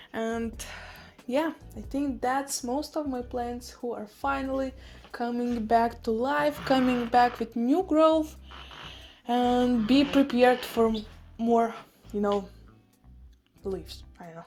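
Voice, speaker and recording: Against noticeable background noise, a woman with a high pitch speaks at a very slow pace, with ordinary pitch variation, big swings in loudness, and long, frequent pauses. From Russian-speaking, Eastern Europe. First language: Russian. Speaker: houseplant vlogger. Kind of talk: casual vlog talk to camera.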